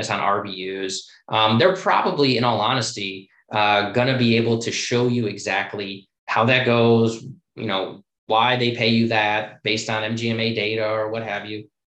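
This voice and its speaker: A man with an American accent and an unremarkable speaking voice talks at medium pitch and a moderate pace, his intonation fairly even. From US Midwest, Chicago. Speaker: plastic surgeon. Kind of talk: casual interview.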